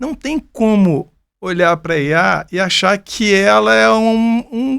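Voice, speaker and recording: The speech is very slow, with lively intonation. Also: man, high pitch for a man. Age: 60s. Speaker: business mentor. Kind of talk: podcast conversation.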